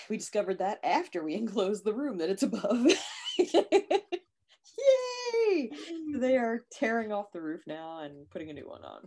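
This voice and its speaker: A woman at a moderate pace, with long, frequent pauses, very wide pitch swings and big swings in loudness. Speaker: co-host. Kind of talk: casual chat. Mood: playful, laughing. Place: home room. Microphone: video call.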